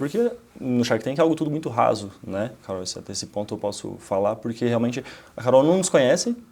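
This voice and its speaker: Speech pours out very fast from this man. The rise and fall of his pitch is ordinary. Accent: Santa Catarina. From Santa Catarina, Brazil. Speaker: entrepreneur, company founder. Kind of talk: casual interview.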